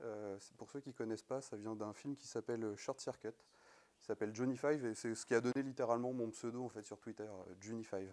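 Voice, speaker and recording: This man's pitch sits in the medium range. He keeps a moderate pace and fairly even intonation. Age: 20s. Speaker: network engineer and conference speaker; conference speaker. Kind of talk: conference talk. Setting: stage with audience. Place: hall.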